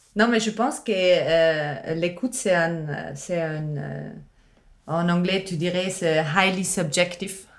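Amid audible room echo, a woman speaks very slowly at a fairly low pitch with ordinary pitch variation. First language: not French (speaking French). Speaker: musician and sound artist. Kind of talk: casual chat. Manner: halting.

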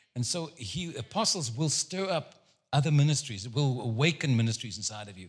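At a moderate pace and medium pitch, a man speaks with lively intonation, an animated tone and a somewhat breathy quality in a very clean recording with a silent background. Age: 70s. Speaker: guest preacher. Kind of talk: sermon. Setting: church service with congregation.

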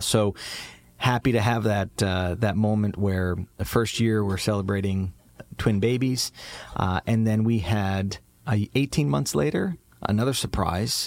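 This man has a fairly low pitch and ordinary pitch variation. He speaks at a fairly slow pace with very even loudness. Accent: American. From upstate New York. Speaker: podcast host and entrepreneur. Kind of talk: casual family chat. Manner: hesitant with filler words.

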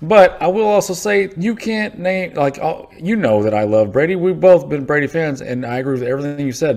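His pitch swings very widely. The man's tone is dark and mellow. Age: 40s. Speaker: podcast co-host. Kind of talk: casual chat.

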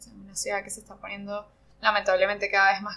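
A woman talks at a medium pitch in a bright, sharp tone. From Venezuela, Margarita Island. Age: 30s. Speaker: ceramicist. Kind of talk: casual interview. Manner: halting, many fillers. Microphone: poor sound quality.

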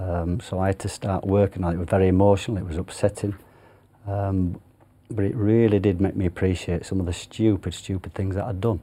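In a Yorkshire accent, a man speaks at a fairly quick pace in a very deep, low pitch with a dark, mellow tone. His delivery is monotone and flat, on a very clean recording with a silent background. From Yorkshire, northern England. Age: 50s. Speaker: retired jockey. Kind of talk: interview. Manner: halting.

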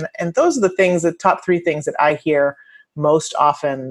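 A woman is speaking. Her pace is fairly quick. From immigrant to the US. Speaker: attorney and researcher. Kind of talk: podcast interview.

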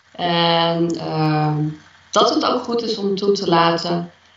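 A woman with a fairly low-pitched voice talks very slowly. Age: 40s. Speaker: interviewee sharing personal story. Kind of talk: podcast interview. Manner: halting.

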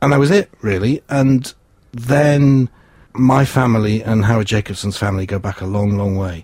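A somewhat breathy man speaks at a medium pitch. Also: ordinary pitch variation, moderate pace. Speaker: community radio volunteer. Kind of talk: casual chat.

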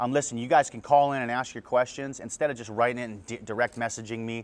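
This is a man with a plain, everyday voice. His pitch is medium and his intonation fairly even. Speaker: former navy seal podcast host. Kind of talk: casual q&a monologue.

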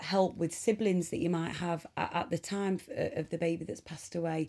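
A woman with an East Midlands accent speaks at a moderate pace in a dark, mellow tone, with a fairly low pitch and fairly even intonation. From Nottinghamshire, England. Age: 30s. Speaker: charity ambassador and film producer. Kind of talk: interview testimony.

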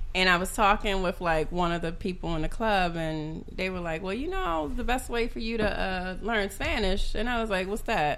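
A woman at medium pitch with an American accent, a moderate pace, hardly any pauses, ordinary pitch variation and audible room echo. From US, grew up in foster care, Nigerian parents. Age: 30s. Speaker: podcast guest, former rapper. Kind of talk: casual chat.

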